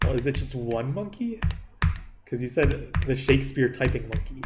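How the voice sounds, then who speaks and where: A man at a medium pitch and fairly quick pace, with audible room echo and music in the background. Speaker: gaming streamer. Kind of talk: live stream chat. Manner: casual, halting.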